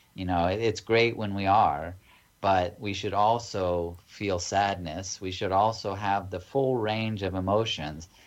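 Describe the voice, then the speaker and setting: A plain, everyday voice with an American accent, at a fairly slow pace. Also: man, fairly low pitch for a man. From United States. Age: 40s. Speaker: ayahuasca retreat organization founder. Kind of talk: casual interview.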